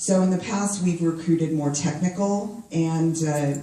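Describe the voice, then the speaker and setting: The speech moves at a moderate pace while noticeable background noise carries on. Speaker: HR professional at a tech company. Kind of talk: panel discussion. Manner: loud.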